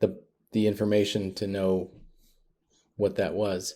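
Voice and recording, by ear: A man's fairly low pitch, dark, mellow tone, little pitch movement and moderate pace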